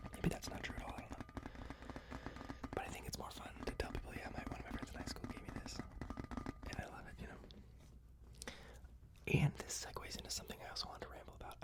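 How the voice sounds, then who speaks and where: Someone whispers at a very fast pace with long, frequent pauses, against noticeable background noise. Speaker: ASMR content creator who does stand-up comedy. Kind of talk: close-up whispered ASMR rambling for sleep. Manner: whispered, soft, intimate.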